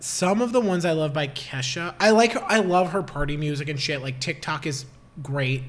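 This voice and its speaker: A man with a fairly high pitch talks at a moderate pace with lively intonation over noticeable background noise. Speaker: podcast co-host. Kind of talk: casual chat.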